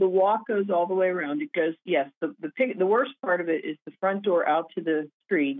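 With an ordinary speaking voice and an American accent, a woman talks at a medium pitch and a moderate pace with lively intonation and hardly any pauses. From Pennsylvania. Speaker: caller. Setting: phone call. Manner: worried, explaining in detail.

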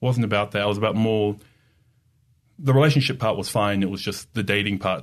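A man with an Australian accent talks at a fairly quick pace in a fairly low pitch against a quiet background. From Australia, Sydney. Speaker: digital marketer. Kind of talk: casual chat.

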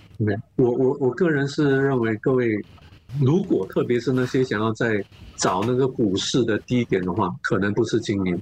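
Against noticeable background noise, a man talks at a very even loudness. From Singapore. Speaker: investment analyst. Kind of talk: interview. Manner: halting, many fillers and repeats; code-switching into English.

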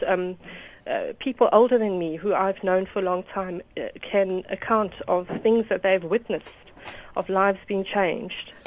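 This is a woman in a plain, everyday voice. She keeps a moderate pace and fairly even intonation. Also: medium pitch for a woman. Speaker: caller. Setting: phone call.

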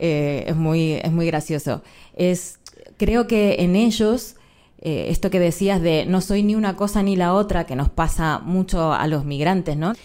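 A woman with a Rioplatense accent speaks at a fairly slow pace, her fairly low voice carrying a dark, mellow tone. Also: ordinary pitch variation. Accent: Argentine Spanish (rioplatense). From Argentina. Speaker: journalist. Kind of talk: live panel conversation. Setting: stage with audience.

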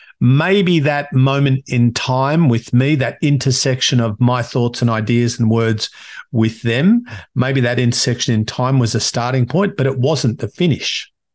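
A medium-pitched man with an Australian accent, very even loudness and ordinary pitch variation. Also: fairly slow pace. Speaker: podcast host and coach. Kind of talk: solo monologue.

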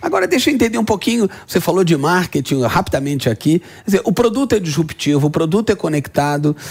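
A man's high-pitched voice at a very fast pace, with lively intonation and big swings in loudness. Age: 50s. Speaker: business podcast host. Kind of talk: interview. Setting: studio.

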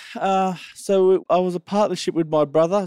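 A man with an Australian accent and a dark, mellow tone, recorded very cleanly against a silent background, with a dry, close sound and no echo. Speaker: farmer. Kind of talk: casual interview.

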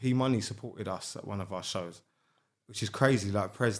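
Speaking at a fairly quick pace, a man with a South London accent keeps a medium pitch with ordinary pitch variation. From South London (Sydenham). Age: 30s. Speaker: rapper and entrepreneur. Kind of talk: casual chat.

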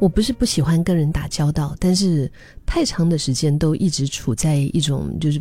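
A woman's very deep, low voice, dark and mellow in tone, with ordinary pitch variation. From Dali, Yunnan, China. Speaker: podcast host. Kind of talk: reflective monologue. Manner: casual, hesitant with fillers.

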